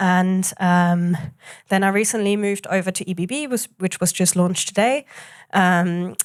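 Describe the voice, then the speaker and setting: A woman with a German accent speaks at a moderate pace and medium pitch, using ordinary pitch variation. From Germany, Hamburg. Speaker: booking agent. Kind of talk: panel interview. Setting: café workshop with audience.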